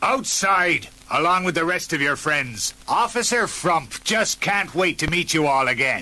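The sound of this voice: This reading voice sounds unforced, its intonation lively throughout.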